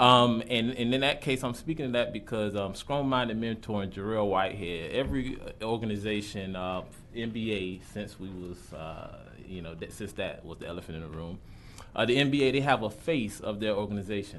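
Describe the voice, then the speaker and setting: 1 man with an American accent, fairly low-pitched, fairly quick, with ordinary pitch variation, big swings in loudness and audible room echo. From Jacksonville, Florida (US South). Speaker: college student, public commenter. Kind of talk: public comment at a government meeting. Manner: halting, many fillers.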